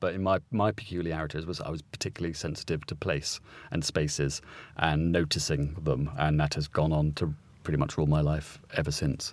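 A man's very deep, low voice at a fairly quick pace, with fairly even intonation, in a very clean recording with a silent background. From St Albans, southern England. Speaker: writer and broadcaster. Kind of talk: casual chat. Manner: hesitant, many fillers.

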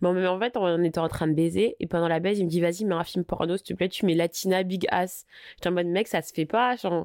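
At a fairly quick pace, a woman with an unremarkable speaking voice talks in a fairly low pitch with fairly even intonation, the sound dry and close with no echo on a very clean recording with a silent background. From Paris, France. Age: 20s. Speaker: social media personality. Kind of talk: candid personal storytelling interview. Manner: casual, slangy.

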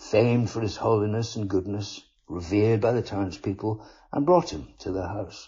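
Intonation stays fairly even throughout this natural reading voice.

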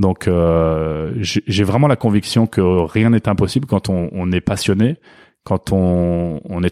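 In a very clean recording with a silent background, a man with a very deep, low pitch speaks fairly slowly with ordinary pitch variation, the sound dry and close with no echo. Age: 40s. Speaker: founder of a networking club. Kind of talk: interview. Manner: hesitant, repeats words.

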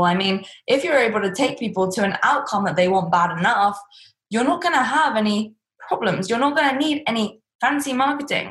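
In an English accent, a woman speaks with a fairly high pitch. Her intonation is lively and her pace moderate. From England. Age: 20s. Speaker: entrepreneur and business coach. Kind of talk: interview. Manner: blunt, to the point.

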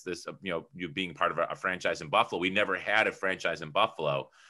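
Moving at a fairly quick pace with ordinary pitch variation, this is a plain, everyday voice. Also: man. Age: 30s. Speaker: entrepreneur and publisher. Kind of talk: interview.

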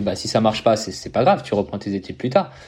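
Speaking fairly quickly, a man has an ordinary speaking voice at a medium pitch. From Paris region, France. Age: 20s. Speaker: professional triathlete. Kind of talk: casual interview.

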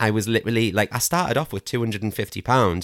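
A dry, close sound with no echo, in a very clean recording with a silent background. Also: man. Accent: Geordie. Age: 30s. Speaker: crystal shop owner, former NHS worker. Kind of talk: casual interview chat.

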